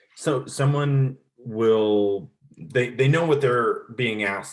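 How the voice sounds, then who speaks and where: A loud man's voice. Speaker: podcast host. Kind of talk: interview.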